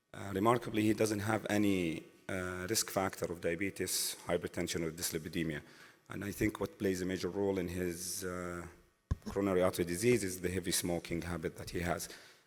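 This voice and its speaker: Music plays in the background as a man speaks in a very deep, low pitch. His delivery is fairly quick and flat, in a monotone. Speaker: interventional cardiologist, assistant professor. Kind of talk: conference case presentation.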